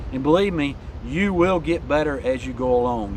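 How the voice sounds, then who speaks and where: Moving fairly quickly, an unremarkable speaking voice shows ordinary pitch variation. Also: man. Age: 60s. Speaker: YouTube coach. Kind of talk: vlog tutorial.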